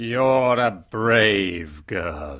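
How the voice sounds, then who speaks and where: In a very clean recording with a silent background, a man puts on a raspy character voice at a fairly low pitch with lively intonation. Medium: audio drama. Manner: stern, commanding.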